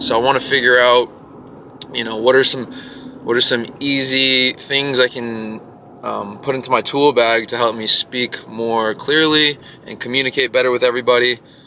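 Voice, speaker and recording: A man's medium-pitched, flat monotone at a moderate pace, with noticeable background noise. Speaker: vlogger and jiu-jitsu instructor. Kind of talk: casual vlog monologue. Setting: in a car. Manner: many filler words.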